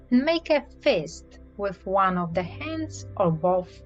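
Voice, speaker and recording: Music plays behind a woman speaking in a calm, soothing tone. She talks at a very slow pace. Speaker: certified clinical hypnotherapist. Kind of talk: hypnotherapy induction, progressive muscle relaxation. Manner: calm, soothing, slow-paced.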